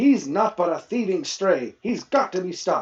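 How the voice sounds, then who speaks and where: A man puts on a character voice. He uses a high pitch and lively intonation. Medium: read story. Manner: angry, blustering, common speech.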